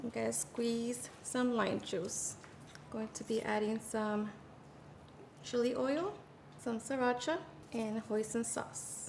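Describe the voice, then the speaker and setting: A woman with a Mexican accent and a fairly high pitch, speaking at a very slow pace with long, frequent pauses, over noticeable background noise. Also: ordinary pitch variation. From Mexico. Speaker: home cook, cooking channel host. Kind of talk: cooking tutorial voice-over. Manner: upbeat, friendly.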